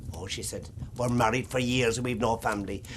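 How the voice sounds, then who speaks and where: With a Cork accent, a man talks very fast at a medium pitch in a somewhat breathy voice. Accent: Irish, Cork. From Ireland. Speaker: traditional storyteller. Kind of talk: traditional storytelling to an audience. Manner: lively, humorous.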